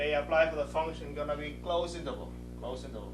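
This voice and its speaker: Over background music, a man talks at a fairly quick pace with audible room echo. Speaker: math instructor. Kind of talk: lecture. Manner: fast.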